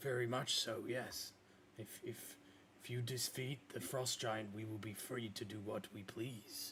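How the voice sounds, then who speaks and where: Over clear background noise, a put-on character voice comes through low-pitched and raspy at a fairly slow pace. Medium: actual play.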